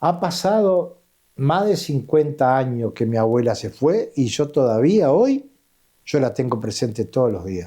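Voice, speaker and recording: Against a quiet background, a man with a dark, mellow tone and fairly high pitch talks at a fairly slow pace, his pitch swinging very widely. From Uruguay, Empalme Olmos (Canelones). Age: 70s. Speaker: interviewee sharing life story. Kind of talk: interview.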